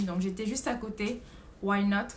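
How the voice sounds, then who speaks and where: A woman speaks in a fairly high, somewhat breathy voice with fairly even intonation. Audible room echo surrounds her. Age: 20s. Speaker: au pair vlogger. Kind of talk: casual vlog monologue. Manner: hesitant, many fillers.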